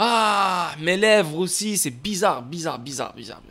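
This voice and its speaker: His intonation is lively. The man's tone comes across bright and sharp. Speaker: crypto livestreamer. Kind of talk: casual livestream chat. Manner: casual, repetitive, mixing English words.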